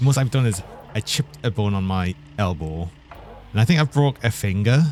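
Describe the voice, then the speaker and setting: A man with a northern English accent, fairly low pitch, lively intonation and a fairly quick pace, over noticeable background noise. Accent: British, northern. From northeast England. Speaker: vtuber game streamer. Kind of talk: live-stream gaming chat. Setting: live stream.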